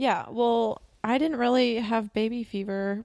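A normal speaking voice with fairly even intonation moves at a fairly slow pace, recorded dry and close with no echo. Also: woman. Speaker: podcast host. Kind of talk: casual chat.

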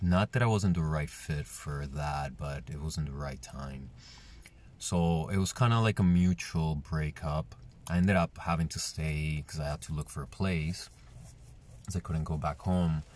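Speaking with a Spanish accent at a moderate pace, a man uses a very deep, low pitch with ordinary pitch variation. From Colombia; Medellin, Colombia. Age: 30s. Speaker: podcast host. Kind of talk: solo podcast monologue, personal storytelling. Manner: casual, conversational, candid.

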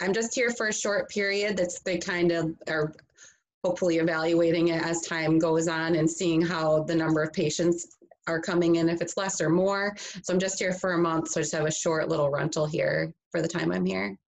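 The speaker talks at a moderate pace with an Upper Midwest accent and fairly even intonation. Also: woman, fairly low pitch for a woman. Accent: Upper Midwest American. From western Michigan, Grand Rapids area. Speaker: nurse. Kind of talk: interview conversation. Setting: video call.

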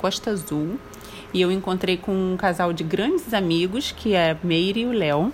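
Noticeable background noise sits behind the speaker. She is a woman with a medium pitch. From Brazil, Rio de Janeiro. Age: 30s. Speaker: mother interviewed by her son. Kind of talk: casual interview.

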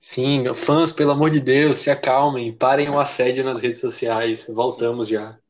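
In a normal speaking voice, a man talks at a moderate pace and medium pitch with fairly even intonation and hardly any pauses. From Brazil. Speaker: podcast co-host. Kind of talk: casual chat.

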